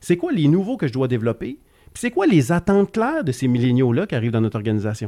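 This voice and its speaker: A man's dark, mellow voice with very wide pitch swings, dry and close with no echo, on a very clean recording against a silent background. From Quebec, Gaspésie. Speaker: entrepreneur. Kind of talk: casual interview.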